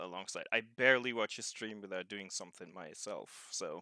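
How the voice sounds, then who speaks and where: A man's fairly low voice with a German accent, bright and sharp in tone, with fairly even intonation and a dry, close sound with no echo. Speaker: video game streamer. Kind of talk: casual chat. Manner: halting.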